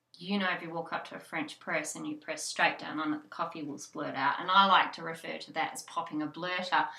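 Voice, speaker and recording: Speaking with an Australian accent, a woman talks at a fairly quick pace with hardly any pauses. Her pitch is fairly low and her intonation fairly even. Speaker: hypnobirthing childbirth educator. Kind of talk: instructional tutorial.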